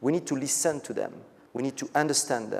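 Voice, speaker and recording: This man speaks with a French accent. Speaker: business executive. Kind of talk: conference keynote speech.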